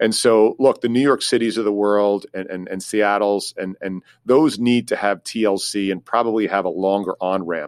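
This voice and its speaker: A man with an ordinary speaking voice talks at a moderate pace with hardly any pauses, his fairly low pitch showing ordinary pitch variation, in a very clean recording with a silent background. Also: dry, close sound with no echo. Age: 50s. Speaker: career advisor. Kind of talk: interview.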